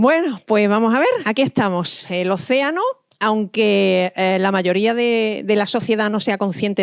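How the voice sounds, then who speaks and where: In an Andalusian accent, a woman speaks at a moderate pace and medium pitch with lively intonation. The recording is very clean with a silent background, and the sound is dry and close with no echo. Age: 50s. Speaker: marine scientist. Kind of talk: lecture.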